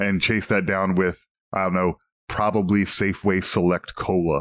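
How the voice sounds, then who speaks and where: A man with an American accent and a normal speaking voice, fairly low in pitch, at a moderate pace on a very clean recording with a silent background. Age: 40s. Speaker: podcast co-host. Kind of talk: casual chat.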